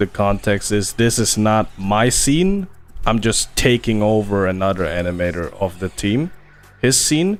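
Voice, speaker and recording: With a non-native accent, a man speaks at a moderate pace in a fairly low pitch, with very even loudness and ordinary pitch variation, over music in the background. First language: not English. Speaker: animator streaming his work. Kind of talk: casual livestream chat while working. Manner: casual, halting with fillers.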